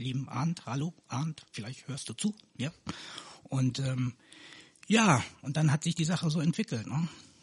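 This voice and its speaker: A man speaks fairly slowly in a fairly high, somewhat breathy voice. His pitch varies in an ordinary way, and the sound is dry and close with no echo. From Canary Islands, raised in Neuss (Rhineland) since 1989. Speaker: local politician. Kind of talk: casual interview.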